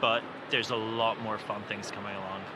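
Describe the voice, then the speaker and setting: The speaking pace is moderate. Noticeable background noise and audible room echo can be heard. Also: man. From Italy. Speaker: software engineer, conference attendee. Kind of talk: casual interview. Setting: conference floor.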